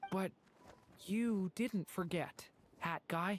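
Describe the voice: Putting on a character voice, a man speaks slowly at a high pitch with ordinary pitch variation.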